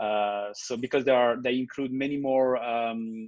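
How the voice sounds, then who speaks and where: With a French accent, a man talks at a fairly slow pace and with fairly even intonation. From France. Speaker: teacher. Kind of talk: video call presentation and Q&A. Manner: halting, many fillers.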